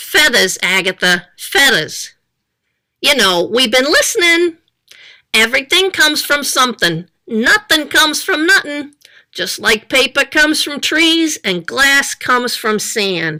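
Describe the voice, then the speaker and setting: Using a put-on character voice, a woman talks at a fairly slow pace and a high pitch, her pitch swinging very widely. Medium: read story. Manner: bossy, blustering.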